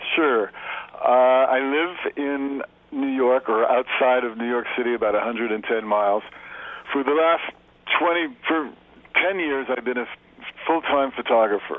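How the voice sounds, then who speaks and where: A man speaks at a moderate pace and a medium pitch, with ordinary pitch variation, long and frequent pauses, and noticeable background noise. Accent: American. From US West Coast, Los Angeles. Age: 60s. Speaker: photographer. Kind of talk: radio interview. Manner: halting, many repetitions and fillers.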